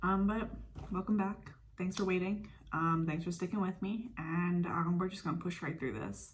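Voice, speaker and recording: At a fairly slow pace, a woman speaks at medium pitch, somewhat breathy. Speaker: beauty vlogger. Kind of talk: casual chat. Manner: monotone.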